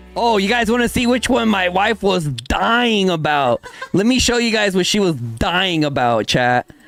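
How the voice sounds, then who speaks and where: A man's high voice with very wide pitch swings, very even loudness and a moderate pace over music in the background. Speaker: gaming streamer. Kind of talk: live stream chat. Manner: casual slangy.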